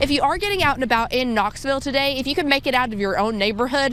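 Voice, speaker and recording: A woman's high-pitched voice with an American accent, very fast, with lively intonation and very even loudness. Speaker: TV news anchor and reporter. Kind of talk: local TV news delivery. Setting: outdoors field report.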